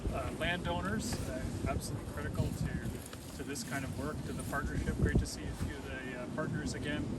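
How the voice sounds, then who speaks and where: Lively intonation marks this man's medium-pitched voice. Noticeable background noise and audible room echo are present. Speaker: conservation organization executive. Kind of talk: outdoor public announcement speech. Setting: outdoors in snow.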